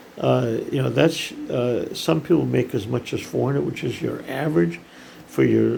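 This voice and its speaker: Moderately paced speech from a man with an American accent, noticeable background noise behind it. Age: 70s. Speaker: startup founder, CEO. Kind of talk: casual monologue to camera. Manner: halting, many fillers.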